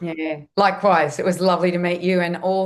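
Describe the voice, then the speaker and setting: With an Australian accent, a woman speaks fairly quickly in a fairly low pitch. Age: 60s. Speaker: nutritionist and health educator. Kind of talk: podcast interview.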